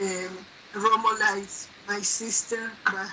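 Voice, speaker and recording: A monotone, flat delivery with a non-native accent over noticeable background noise. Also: woman. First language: not English. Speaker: representative of an organization at the United Nations. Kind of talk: online gathering address. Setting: online video event. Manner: halting, many fillers.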